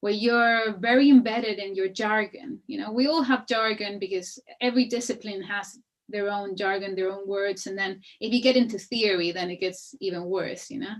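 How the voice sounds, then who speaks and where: A woman's medium-pitched voice with a Spanish accent, moderate pace and ordinary pitch variation. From Chile. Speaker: architect and researcher. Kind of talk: panel discussion. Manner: hesitant, many fillers.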